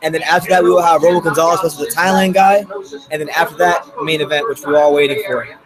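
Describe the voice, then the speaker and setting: Music is audible behind the voice. The man has an American accent. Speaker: boxing YouTuber. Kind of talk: live fight reaction stream. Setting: live stream with chat. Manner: casual, conversational.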